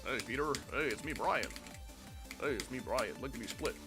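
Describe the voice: A man's put-on character voice at a fairly quick pace, over loud music in the background.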